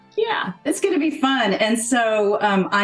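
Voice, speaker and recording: Over music in the background, a woman speaks at a fairly slow pace with lively intonation. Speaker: podcast host, well-being strategist. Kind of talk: podcast host interview talk.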